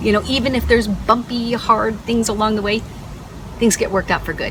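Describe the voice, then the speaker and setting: With noticeable background noise behind her, a woman talks at a fairly quick pace in a fairly high pitch and monotone, flat intonation. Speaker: vlogger, corporate contingent workforce specialist. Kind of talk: casual vlog monologue. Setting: at home. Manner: fast.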